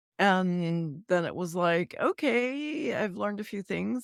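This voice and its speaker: A woman's medium-pitched, plain, everyday voice with lively intonation, in a dry, close sound with no echo. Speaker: voice actor, narrator, actor. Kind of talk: podcast interview answer.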